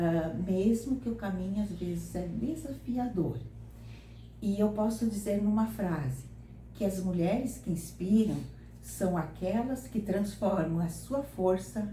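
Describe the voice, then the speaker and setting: Audible room echo and noticeable background noise accompany a woman talking very slowly. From southern Brazil, Santa Catarina (São José do Cedro). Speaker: retired teacher. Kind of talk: interview.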